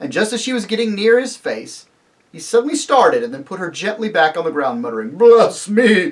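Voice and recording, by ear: Someone reads aloud in a natural voice while the background stays quiet.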